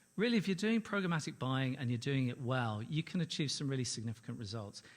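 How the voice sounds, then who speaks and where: A man with a London accent speaks at a very fast pace in a medium pitch with very wide pitch swings, on a very clean recording with a silent background. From London, England. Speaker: ad-tech company executive, conference panelist. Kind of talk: conference presentation. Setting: stage with audience.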